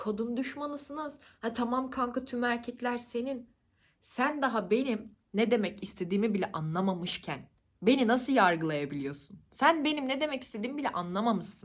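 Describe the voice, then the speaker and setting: At a moderate pace, a high-pitched woman talks in an animated tone with lively intonation. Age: 20s. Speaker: YouTuber. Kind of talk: casual vlog monologue.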